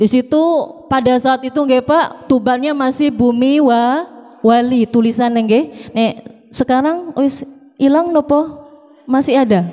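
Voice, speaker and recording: A woman speaks at a fairly slow pace in a high pitch. Noticeable background noise can be heard. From Jakarta, Indonesia. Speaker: preacher. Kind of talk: sermon. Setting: mosque with congregation.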